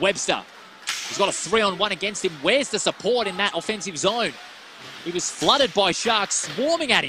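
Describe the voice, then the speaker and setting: A man with an Australian accent and a high-pitched voice sounds excited, speaking with lively intonation over noticeable background noise. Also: fairly quick pace, dry sound with no echo. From Western Australia. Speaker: ice hockey commentator. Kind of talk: live play-by-play ice hockey commentary, rapid puck-tracking calls. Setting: commentary box at ice rink, live stream. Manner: quick clipped name-calling of players as the puck moves; excited rhetorical questions mid-play, self-correcting in the rush. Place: stadium.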